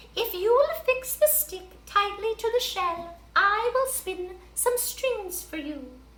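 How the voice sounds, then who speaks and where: A squeaky put-on character voice at a fairly slow pace over light background noise. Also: woman, extremely high pitch for a woman. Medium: read story.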